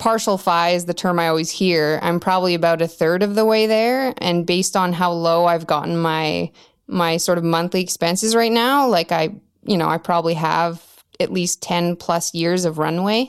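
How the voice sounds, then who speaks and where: In a Canadian accent, a woman with an unremarkable speaking voice talks at a moderate pace and fairly low pitch, with ordinary pitch variation and very even loudness, in a very clean recording with a silent background. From Canada, Yukon (Whitehorse). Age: 30s. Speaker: early retiree sharing financial independence journey. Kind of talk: casual interview.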